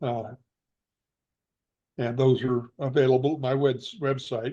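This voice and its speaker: The voice carries an American accent and a dark, mellow tone. Its intonation is monotone and flat. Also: man. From Northern California. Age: 80s+. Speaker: Bigfoot researcher and author. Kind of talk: interview. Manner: halting.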